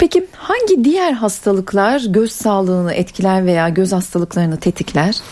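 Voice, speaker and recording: Against noticeable background noise, a woman at medium pitch speaks at a moderate pace with hardly any pauses, very even loudness and ordinary pitch variation. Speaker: radio host. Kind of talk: radio call-in show. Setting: studio.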